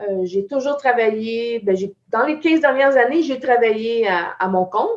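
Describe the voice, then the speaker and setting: A woman's fairly high voice in a Quebec accent, fairly slow, with lively intonation. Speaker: IT entrepreneur. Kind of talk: live video chat.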